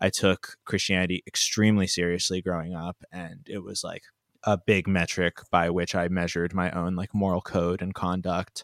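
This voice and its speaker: A man speaks in a very deep, low voice at a moderate pace with monotone, flat intonation. The recording is very clean with a silent background and a dry, close sound with no echo. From Pennsylvania, US. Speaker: podcast guest, comedy podcaster. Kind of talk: casual chat.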